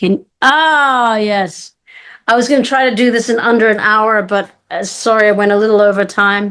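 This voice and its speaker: Speaking in a normal speaking voice, a woman keeps a moderate pace with a fairly high pitch and ordinary pitch variation. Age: 50s. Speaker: spiritual workshop facilitator. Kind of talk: online live workshop. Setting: video call.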